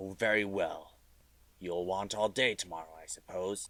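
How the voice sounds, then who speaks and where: A man's put-on character voice, very deep and low, at a moderate pace. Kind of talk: radio drama. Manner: gruff, curt.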